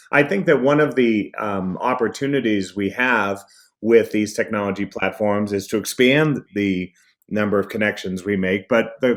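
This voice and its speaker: In a very clean recording with a silent background, a man with an American accent speaks at a fairly low pitch with ordinary pitch variation. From Boston. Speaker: speaker and trainer. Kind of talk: interview.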